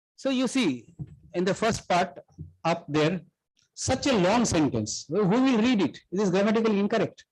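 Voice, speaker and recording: A man's high-pitched voice at a moderate pace, with lively intonation and very even loudness, over a quiet background. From Asia. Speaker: professor giving a workshop talk. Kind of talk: lecture. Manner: halting, with restarts.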